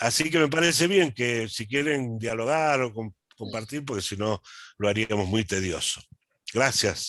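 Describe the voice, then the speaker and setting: The speech comes at a fairly slow pace with an Argentine accent. The intonation is lively. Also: man, medium pitch for a man. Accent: Argentine Spanish (Rioplatense). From Argentina. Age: 70s. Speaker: accountant and lay church movement speaker. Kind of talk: talk at online meeting. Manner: halting, many fillers and repetitions.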